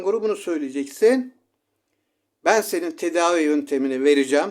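The man talks at a moderate speed, and his intonation is lively. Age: 60s. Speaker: self-styled shaman giving herbal remedies. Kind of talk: home remedy tutorial.

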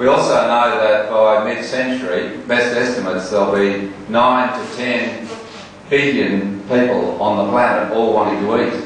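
The speech is fairly slow with fairly even intonation. Strong room echo and light background noise are present. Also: man. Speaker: politician. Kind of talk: political speech.

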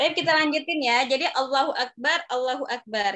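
Against a quiet background, a woman speaks at a moderate pace in a high voice. Her tone is bright and sharp, with lively intonation. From Indonesia. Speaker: Arabic teacher. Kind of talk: online class lesson. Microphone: phone near.

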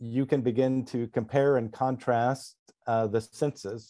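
A man's dark, mellow tone against a quiet background. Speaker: author on lucid dreaming; guest. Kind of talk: casual panel discussion. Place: home room. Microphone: video call.

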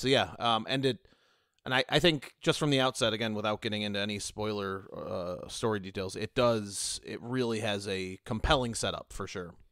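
Recorded very cleanly with a silent background, a man with an unremarkable speaking voice talks at a moderate pace, his fairly low pitch varying in an ordinary way. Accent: American. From United States. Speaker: podcast panelist. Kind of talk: casual chat.

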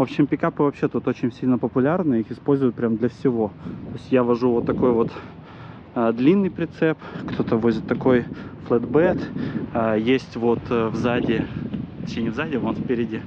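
Noticeable background noise runs beneath a man who speaks with long, frequent pauses. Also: ordinary pitch variation, moderate pace, dry sound with no echo. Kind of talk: casual vlog chat. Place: street. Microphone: phone near.

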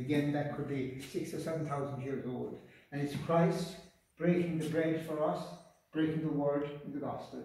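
The speech moves at a moderate pace. Strong room echo surrounds it. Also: man. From Ireland, County Mayo; Ireland. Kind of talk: guided tour interview. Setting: inside an old island church. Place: church. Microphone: camera far.

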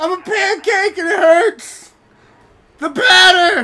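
Someone shouts in a put-on character voice at an extremely high pitch. The delivery comes at a fairly slow pace. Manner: screaming in pain, mocking.

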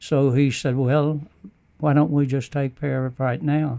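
Fairly slow and fairly even in intonation, a man with an American accent speaks in a dark, mellow tone. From United States. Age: 80s+. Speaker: war veteran. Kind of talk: interview answer. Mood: earnest, reflective. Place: studio. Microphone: studio mic.

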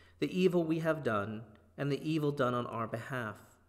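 Against a quiet background, a man talks at a moderate pace with a fairly high pitch and ordinary pitch variation. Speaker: priest leading service. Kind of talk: liturgical prayer and reading. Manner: fervent, solemn, measured. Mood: calm, reverent. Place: church.

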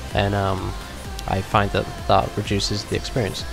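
A man with a fairly low pitch is heard over clear background music, with a dry sound and no echo. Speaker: tutorial maker. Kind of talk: screen-recorded tutorial narration. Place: home room.

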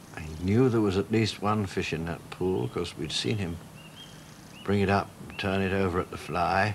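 A man speaks with a very deep, low pitch and ordinary pitch variation. Noticeable background noise can be heard. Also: moderate pace. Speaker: TV presenter. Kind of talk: TV documentary narration.

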